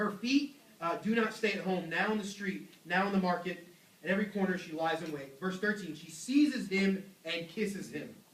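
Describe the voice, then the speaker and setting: A loud man with a high pitch talks at a moderate pace with ordinary pitch variation. Audible room echo surrounds his voice. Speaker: youth pastor. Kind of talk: sermon. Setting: church. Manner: animated.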